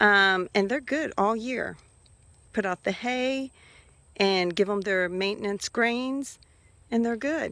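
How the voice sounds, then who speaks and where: A woman's fairly high pitch, with ordinary pitch variation, comes through a very clean recording over a silent background. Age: 50s. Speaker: hobby farmer. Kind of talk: casual talk to camera.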